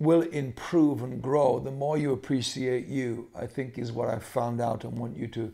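Over a quiet background, a man with a medium pitch and a dark, mellow tone speaks at a very slow pace with fairly even intonation. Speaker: pastor and leadership speaker. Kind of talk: motivational talk to camera. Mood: calm, thoughtful. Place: home room. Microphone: phone near.

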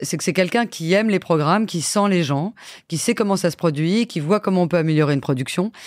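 A woman speaks with a fairly low pitch. She keeps a fairly quick pace and ordinary pitch variation. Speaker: TV production executive. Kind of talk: interview. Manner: hesitant fillers.

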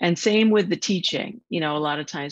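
Behind her, the background stays quiet. The woman's intonation is lively. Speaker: novelist. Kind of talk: literary audiobook reading, fiction read aloud to a virtual audience. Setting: video call. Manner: even, measured, narrative cadence.

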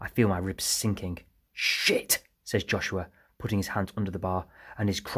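Against a quiet background, an unforced reading voice keeps fairly even intonation.

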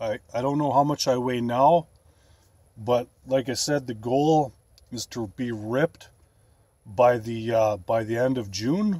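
Speaking with a western Canadian accent, a man uses a dark, mellow tone, ordinary pitch variation and a fairly slow pace. His long, frequent pauses come through in a dry sound with no echo. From Canada, Alberta. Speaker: bodybuilding vlogger. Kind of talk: casual vlog. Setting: in a van. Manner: casual, filler-heavy. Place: car. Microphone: phone near.

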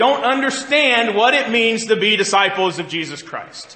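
Audible room echo surrounds a man who keeps a moderate pace. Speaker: pastor. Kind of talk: sermon. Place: church.

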